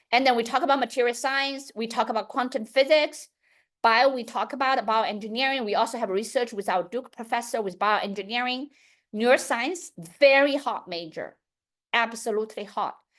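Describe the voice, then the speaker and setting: A woman speaks loudly in a high pitch at a fairly quick pace, with ordinary pitch variation. Behind her, the background is quiet. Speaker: education company founder. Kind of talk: public talk.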